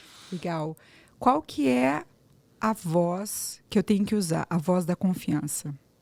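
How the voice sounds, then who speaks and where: On a very clean recording with a silent background and a dry, close sound with no echo, the speech moves very slowly with lively intonation. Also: woman, fairly low pitch for a woman. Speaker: speech therapist, voice coach. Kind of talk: interview podcast conversation.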